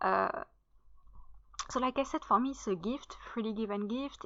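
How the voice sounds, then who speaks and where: Speaking at a fairly quick pace with a French accent, a woman uses a fairly high pitch, ordinary pitch variation and a bright, sharp tone over a quiet background. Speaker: writer and content creator. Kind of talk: casual channel introduction. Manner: hesitant, many fillers.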